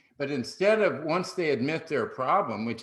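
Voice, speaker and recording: This man's pitch swings very widely as he talks with an American accent. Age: 70s. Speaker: sales expert and author. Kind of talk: podcast interview.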